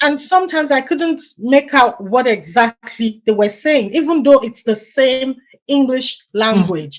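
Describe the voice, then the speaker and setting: A woman with a Nigerian accent speaks at a fairly slow pace, high in pitch, with an animated tone and lively intonation. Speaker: immigrant, supply chain professional. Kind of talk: interview.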